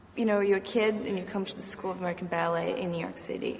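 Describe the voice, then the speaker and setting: Noticeable background noise and audible room echo accompany a woman as she speaks. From Brazil. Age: 20s. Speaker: ballet dancer. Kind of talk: documentary interview.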